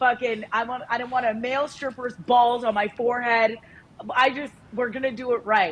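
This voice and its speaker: A woman speaks in an animated tone with a high pitch. Her pace is moderate. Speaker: podcast co-host. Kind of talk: casual chat.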